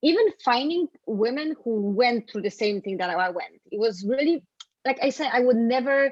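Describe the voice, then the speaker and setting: This woman has a high pitch and lively intonation. She talks at a moderate pace. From Poland. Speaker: fitness and nutrition coach. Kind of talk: interview.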